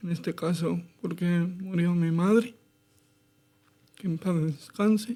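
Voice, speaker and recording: Pitched high, a man speaks with a dark, mellow tone and fairly even intonation. His pace is very slow, with long, frequent pauses. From Madrid, Spain. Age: 30s. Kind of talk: interview.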